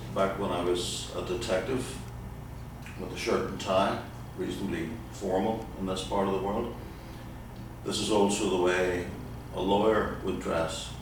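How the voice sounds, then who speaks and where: Amid noticeable background noise and audible room echo, a man with a very deep, low pitch talks at a moderate pace, leaving long, frequent pauses. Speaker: firearms instructor, former detective. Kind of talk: lecture. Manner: formal.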